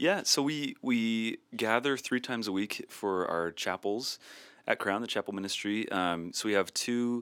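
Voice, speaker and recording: A man with an ordinary speaking voice and an American accent talks fairly slowly at a medium pitch with ordinary pitch variation, in a very clean, dry, close recording with a silent background and no echo. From US Midwest (north central Iowa). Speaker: worship ministry professor. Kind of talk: interview.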